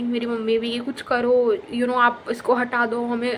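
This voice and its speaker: Over noticeable background noise, a woman talks in a fairly high voice. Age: 20s. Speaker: lifestyle vlogger. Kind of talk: storytelling. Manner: casual, many fillers.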